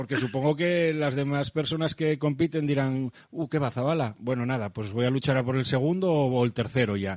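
A man with a slight Asturian accent speaks at a moderate pace with hardly any pauses and ordinary pitch variation, over a quiet background. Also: medium pitch for a man. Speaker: radio host. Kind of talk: radio interview; radio show sign-off.

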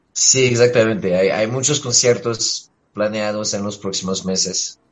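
A man with a medium pitch and ordinary pitch variation speaks at a fairly slow pace. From France. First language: French (speaking Spanish). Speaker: musician. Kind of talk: radio interview. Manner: halting.

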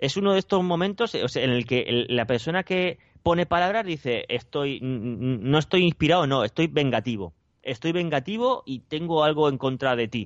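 With a plain, everyday voice, a man speaks at a fairly high pitch and moderate pace with lively intonation. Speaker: podcast co-host. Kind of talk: casual chat.

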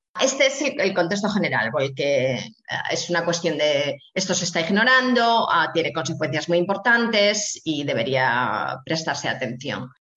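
A woman's fairly low voice, fairly slow in pace, with very wide pitch swings. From Spain, Asturias. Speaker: bioethics professor. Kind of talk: interview. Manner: halting with frequent repetitions.

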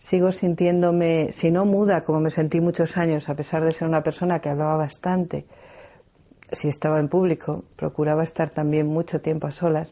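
At a moderate pace, a woman speaks in a fairly low pitch with a dark, mellow tone, flat monotone intonation and very even loudness. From Spain, León. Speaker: researcher and speaker on nature spirits. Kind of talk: reflective talk.

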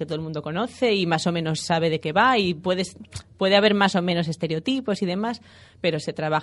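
Talking at a fairly quick pace, a woman with an ordinary speaking voice uses a fairly low pitch and ordinary pitch variation. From Spain, Asturias (Gijón). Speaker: feminist musicologist and gender consultant. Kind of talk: interview.

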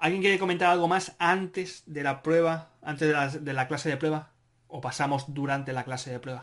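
An animated man at a fairly quick pace and a fairly high pitch. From Spain, Barcelona. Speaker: podcast host, Spanish teacher. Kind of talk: moderated group discussion. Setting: video conference.

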